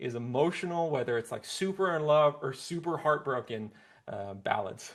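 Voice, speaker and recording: The man's intonation is lively. His pace is moderate. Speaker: singer-songwriter. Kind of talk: interview. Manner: soft-spoken.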